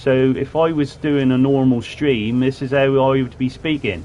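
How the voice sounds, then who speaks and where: A man's voice with noticeable background noise. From southwest England, Plymouth. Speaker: gaming streamer. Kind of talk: live gameplay commentary. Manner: casual, chatty with hesitations.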